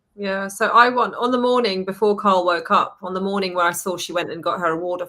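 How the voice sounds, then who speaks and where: Speaking with a British accent at a fairly quick pace, a woman uses a fairly low pitch and fairly even intonation on a very clean recording with a silent background. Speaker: permanent makeup artist and trainer. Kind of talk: podcast conversation.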